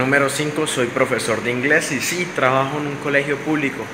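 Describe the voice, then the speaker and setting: A man with a bright, sharp tone speaks at a fairly quick pace. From Colombia, Bucaramanga, Santander. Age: 20s. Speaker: YouTuber and English teacher. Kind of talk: casual vlog talk to camera.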